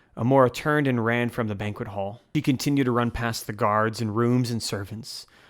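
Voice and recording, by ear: A natural voice reading aloud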